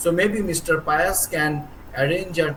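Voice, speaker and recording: A man speaks with a Bengali accent. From India. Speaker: professor. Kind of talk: speech. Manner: energetic; halting.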